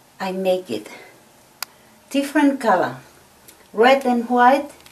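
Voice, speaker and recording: A woman's high voice, very slow, with lively intonation, over noticeable background noise. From Tonga. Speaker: craftswoman. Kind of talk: tutorial.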